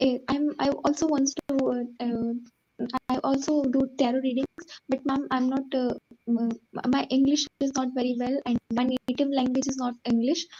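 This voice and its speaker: A woman with an Indian accent talks in a high voice at a moderate pace. Her intonation stays flat and monotone, and her loudness is very even. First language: Hindi. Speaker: caller, tarot reader. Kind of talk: consultation call. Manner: halting, many hesitations.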